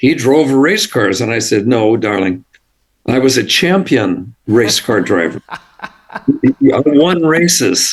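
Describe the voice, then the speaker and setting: With an American accent, a man speaks in very wide pitch swings. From California. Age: 80s+. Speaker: composer. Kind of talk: interview.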